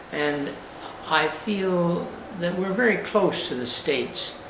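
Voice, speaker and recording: A man with a Canadian accent talks at a fairly high pitch with ordinary variation. Noticeable background noise and audible room echo fill the recording. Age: 80s+. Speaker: elderly war veteran. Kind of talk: personal video monologue. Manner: halting, with frequent uh pauses.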